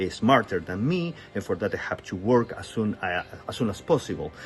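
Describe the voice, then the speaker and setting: Speaking at a moderate pace, a man with a Spanish accent has a fairly low pitch. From Chile. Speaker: testimony speaker. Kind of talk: testimony. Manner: halting, with fillers.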